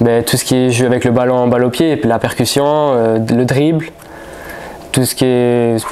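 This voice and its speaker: Amid noticeable background noise and audible room echo, a man in a Marseille accent speaks at a medium pitch and a fairly slow pace with fairly even intonation. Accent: southern French (Marseille). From France, Marseille. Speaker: footballer. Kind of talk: press conference. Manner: halting.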